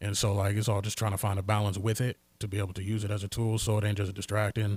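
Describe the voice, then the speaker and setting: The voice is somewhat breathy, with monotone, flat intonation at a very fast pace. The recording is very clean, with a silent background. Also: man, fairly low pitch for a man. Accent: American. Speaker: rapper. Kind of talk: casual chat. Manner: soft-spoken.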